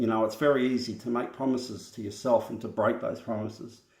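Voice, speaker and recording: At a fairly quick pace, the voice stays monotone and flat, with audible room echo around it. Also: man. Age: 40s. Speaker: vlogger. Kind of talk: personal vlog monologue.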